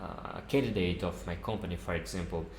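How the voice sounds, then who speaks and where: Audible room echo surrounds a man speaking at a moderate pace with a non-native accent. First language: not English. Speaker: software developer YouTuber. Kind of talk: tutorial. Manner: halting.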